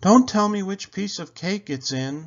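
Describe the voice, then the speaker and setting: The voice is pitched in the middle range. It is a put-on character voice. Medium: read story.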